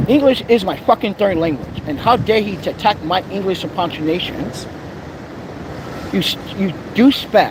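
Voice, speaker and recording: An animated, high-pitched man with lively intonation at a moderate pace, with long, frequent pauses and noticeable background noise. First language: not English. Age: 40s. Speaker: vlogger. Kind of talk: angry rant. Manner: loud.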